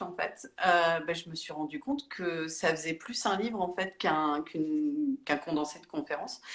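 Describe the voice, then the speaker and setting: A woman's voice with very wide pitch swings. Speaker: therapist and author. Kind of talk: interview on a live stream. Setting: Instagram live video call. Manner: hesitant, many fillers.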